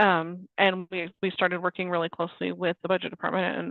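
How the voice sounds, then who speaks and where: With a fairly low pitch, a woman talks in a monotone, flat intonation. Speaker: state government staffer. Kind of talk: webinar presentation. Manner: fast.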